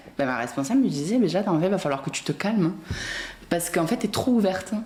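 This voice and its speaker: A woman with a medium-pitched voice speaks in a southern French accent at a very fast pace. Her intonation is lively, and there is noticeable background noise. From southern France (Béziers). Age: 20s. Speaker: guest telling her life story. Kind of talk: casual chat. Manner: animated.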